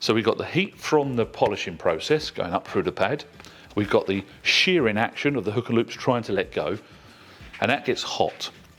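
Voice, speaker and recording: Male voice in an English accent, medium in pitch with very wide swings, at a moderate pace. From England. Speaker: product specialist. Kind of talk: tutorial.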